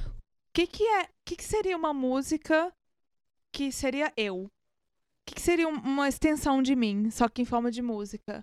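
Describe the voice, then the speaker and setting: A woman speaks at a high pitch with very wide pitch swings. Long, frequent pauses and big swings in loudness run through her speech. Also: moderate pace, dry, close sound with no echo. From Brazil, Minas Gerais. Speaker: musician. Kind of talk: casual chat.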